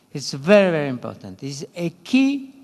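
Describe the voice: A man with a fairly high, slightly mellow voice speaks at a moderate pace, his pitch swinging very widely.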